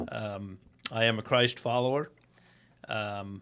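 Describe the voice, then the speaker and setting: This is a man speaking. He has an American accent. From US Midwest, Nebraska. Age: 60s. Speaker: automotive sales guest. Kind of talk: casual chat.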